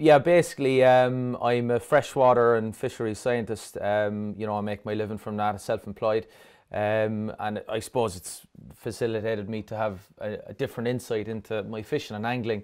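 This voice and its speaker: A man's medium-pitched voice with a Cork accent, fairly even intonation and a moderate pace, in a very clean recording with a silent background. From Ireland, Dublin. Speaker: fisheries scientist and angler. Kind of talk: interview.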